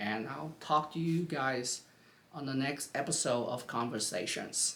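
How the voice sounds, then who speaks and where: A fairly slow speaker with a non-native accent and lively intonation. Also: man. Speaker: YouTube commentator. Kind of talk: casual political commentary vlog. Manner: halting, many fillers and restarts.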